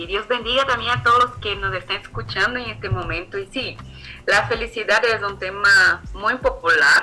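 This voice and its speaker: A woman speaks at a moderate pace with a Brazilian accent. Noticeable background noise runs under her voice. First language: Portuguese (speaking Spanish). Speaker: theologian. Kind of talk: faith podcast interview.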